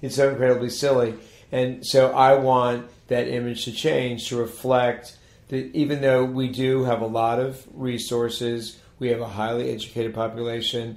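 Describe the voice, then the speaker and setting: With an American accent, a man speaks at a moderate pace in a monotone, flat way. Room echo is audible, and background noise is noticeable. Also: medium pitch for a man. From Maryland, Montgomery County. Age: 60s. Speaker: town mayor. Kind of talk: interview. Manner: halting, many restarts.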